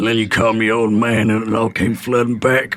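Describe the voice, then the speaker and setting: Using a put-on character voice, a man talks at a fairly quick pace with medium pitch and a monotone, flat intonation. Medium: game stream. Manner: wry, dry humour.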